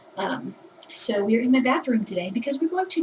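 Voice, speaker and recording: Quiet and high-pitched, a woman's voice swings very widely in pitch amid noticeable background noise. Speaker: vlogger. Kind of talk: casual vlog. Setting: bathroom.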